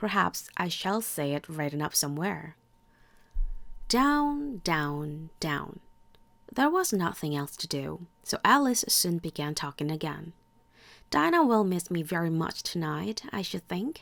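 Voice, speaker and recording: Soft-spoken and fairly low-pitched, a woman's voice moves through very wide pitch swings on a very clean recording with a silent background. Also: fairly slow pace. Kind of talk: bedtime story reading.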